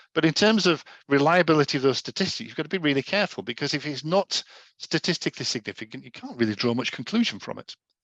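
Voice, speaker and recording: A man with a fairly high voice talks very fast and with lively intonation, the sound dry and close with no echo over a quiet background. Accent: Yorkshire. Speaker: data adviser giving education session. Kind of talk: informal lecture.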